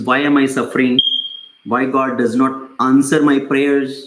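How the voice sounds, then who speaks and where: Audible room echo surrounds a man speaking at medium pitch in a monotone, flat intonation. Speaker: spiritual teacher. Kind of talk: lecture. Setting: small group in person, no mic. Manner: loud. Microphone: no mic, voice caught directly.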